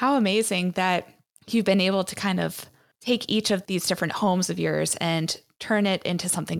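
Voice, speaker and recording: This very clean recording with a silent background features a woman with a normal speaking voice. Her pitch is fairly low and her pace moderate. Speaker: podcast host. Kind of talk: interview, scripted intro. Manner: warm, upbeat.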